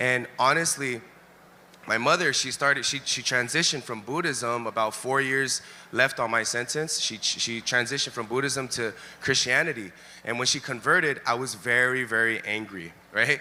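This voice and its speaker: Bright and sharp in tone, a man with a Californian accent speaks at a moderate pace and medium pitch, with ordinary pitch variation. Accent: Californian American English. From Los Angeles, US West Coast. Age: 30s. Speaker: ex-gang member giving testimony. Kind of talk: testimony. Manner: relaxed, chill.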